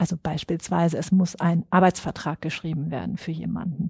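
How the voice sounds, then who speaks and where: A woman's fairly low, somewhat breathy voice with a dark, mellow tone at a moderate pace, dry and close with no echo, on a very clean recording with a silent background. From northern Germany (Schwerin). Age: 40s. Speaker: psychologist and HR recruiting expert. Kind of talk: interview.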